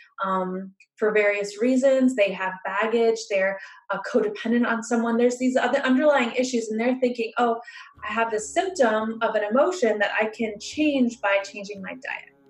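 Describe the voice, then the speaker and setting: A fairly high-pitched woman at a moderate pace, with ordinary pitch variation and noticeable background noise. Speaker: emotional healing practitioner. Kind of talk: instructional talk. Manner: hesitant fillers.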